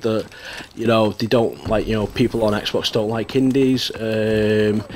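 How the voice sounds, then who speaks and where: A man speaks fairly slowly in a monotone, flat delivery. Noticeable background noise sits behind him. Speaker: gaming youtuber. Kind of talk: casual vlog.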